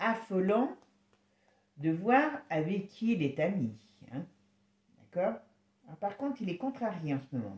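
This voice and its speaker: Speaking very slowly, a woman uses vocal fry and very wide pitch swings. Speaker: tarot reader. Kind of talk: tarot reading video. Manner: casual, hesitant.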